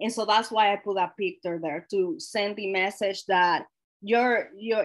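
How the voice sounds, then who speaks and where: In a Spanish accent, a woman speaks at a fairly slow pace with medium pitch and ordinary pitch variation. The recording is very clean, with a silent background. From Dominican Republic. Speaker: workshop trainer. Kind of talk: lecture.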